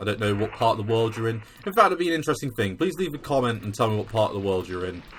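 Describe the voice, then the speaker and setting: Speaking at a very fast pace with hardly any pauses, a man with a British accent keeps a medium pitch and lively intonation. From England. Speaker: gaming video creator. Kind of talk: gameplay commentary; casual chat. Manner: casual with filler words.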